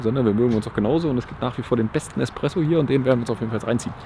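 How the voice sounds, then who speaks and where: Light background noise accompanies a man talking at a very fast pace in a dry sound with no echo. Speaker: car channel host. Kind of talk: casual vlog chat. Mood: cheerful, laughing. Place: street. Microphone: phone near.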